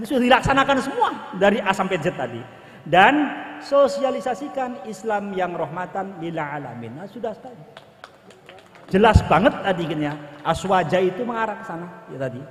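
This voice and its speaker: Delivered at a fairly quick pace in a strong West Javanese accent, the voice makes very wide pitch swings and big swings in loudness over noticeable background noise. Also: man, high pitch for a man. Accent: thick Indramayu Javanese. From Indramayu, West Java, Indonesia. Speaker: senior police officer. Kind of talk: ceremonial speech. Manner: hurried.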